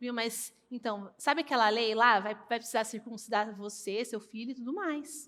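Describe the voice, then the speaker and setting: A woman with an unremarkable speaking voice talks at a fairly high pitch and a moderate pace. Her pitch variation is ordinary, with hardly any pauses. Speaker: pastor. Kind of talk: sermon.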